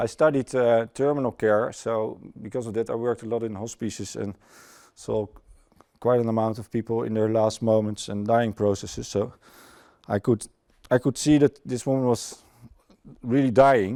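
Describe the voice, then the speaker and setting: Speaking with a Dutch accent, a man uses a medium pitch and a dark, mellow tone at a moderate pace, with fairly even intonation and long, frequent pauses. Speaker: former airline pilot, conference speaker. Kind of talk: conference talk. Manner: halting.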